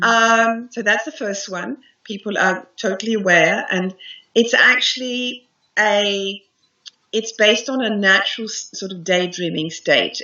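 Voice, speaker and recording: Speaking at a fairly slow pace with an Australian accent, a woman with a fairly high pitch shows ordinary pitch variation and big swings in loudness. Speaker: hypnotherapist and meditation teacher. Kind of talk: interview answer. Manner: enthusiastic.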